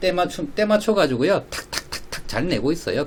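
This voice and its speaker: The man's voice sits at a fairly high pitch. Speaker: stock investment YouTuber, financial advisor. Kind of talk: casual solo stock analysis broadcast.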